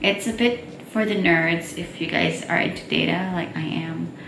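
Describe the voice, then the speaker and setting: A woman's fairly low voice with fairly even intonation, amid noticeable background noise and audible room echo. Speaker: marine research assistant. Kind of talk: vlog narration.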